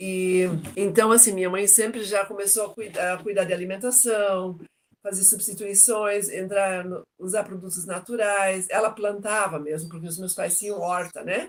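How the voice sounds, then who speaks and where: With a normal speaking voice, a woman talks at a moderate pace and medium pitch, her intonation fairly even but her loudness swinging widely. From southern Brazil, Joinville, Santa Catarina. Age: 60s. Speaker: retired logistics professional, interviewee. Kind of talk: interview testimony.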